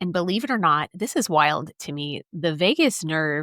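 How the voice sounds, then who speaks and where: An unremarkable speaking voice from a woman at a fairly slow pace, with ordinary pitch variation and a dry, close sound with no echo in a very clean recording with a silent background. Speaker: podcast host. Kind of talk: solo podcast talk. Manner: casual, conversational.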